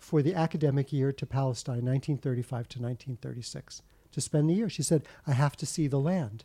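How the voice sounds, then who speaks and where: A man with an American accent speaks at a fairly high pitch in a dark, mellow tone, somewhat breathy, in a dry, close sound with no echo. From United States. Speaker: author. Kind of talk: interview.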